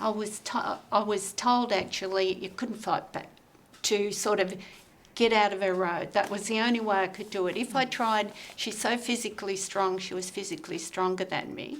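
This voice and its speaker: In an Australian accent, a woman talks at a medium pitch with fairly even intonation. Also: moderate pace. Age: 70s. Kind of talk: group discussion.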